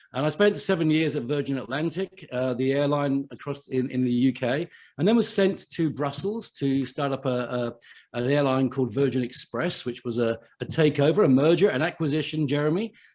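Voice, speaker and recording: A man with an English accent speaks at a fairly quick pace. His pitch is fairly high, with ordinary variation. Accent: very English. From England. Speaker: chief financial officer and podcaster. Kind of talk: live online summit talk. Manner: hesitant, many fillers.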